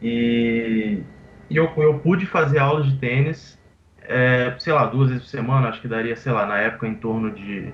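Somewhat breathy, a man's voice carries ordinary pitch variation. He keeps a moderate pace. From Brazil, Vitória, Espírito Santo. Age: 20s. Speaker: professional poker player. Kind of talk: interview.

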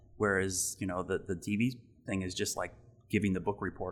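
A man with an American accent talks at a fairly quick pace in a very deep, low voice with vocal fry. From Ohio, US Midwest. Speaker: TV meteorologist. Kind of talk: interview. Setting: studio.

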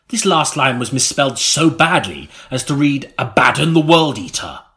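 A man's fairly high, bright, sharp voice with vocal fry, solemn in tone, lively in intonation, at a fairly slow pace. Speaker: audiobook narrator. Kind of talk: comic audiobook reading, dry spoof gothic narration with character voices. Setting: recording studio. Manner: mock-solemn, storyteller's cadence.

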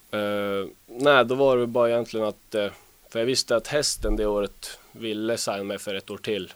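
An unremarkable speaking voice from a man, pitched fairly low. He talks at a moderate pace with fairly even intonation. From northern Sweden, Luleå. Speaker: ice hockey player. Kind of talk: interview.

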